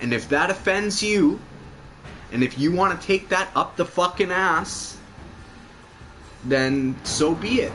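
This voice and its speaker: Over music in the background, a man with a high voice speaks at a fairly slow pace in an animated tone, his intonation lively, his loudness very even, and his pauses long and frequent. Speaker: gaming livestreamer. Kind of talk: casual chat during game livestream. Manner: animated, repetitive stammering.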